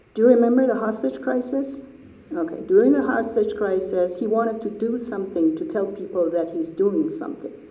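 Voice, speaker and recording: A fairly high-pitched woman's voice at a fairly quick pace, with very wide pitch swings, noticeable background noise and audible room echo. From Iran. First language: Persian. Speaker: artist. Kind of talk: artist talk Q&A.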